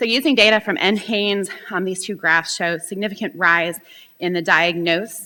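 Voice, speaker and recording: A woman speaks loudly at a moderate pace, her medium-pitched voice bright and sharp in tone with ordinary pitch variation. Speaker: professor. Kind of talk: conference talk. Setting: stage with audience.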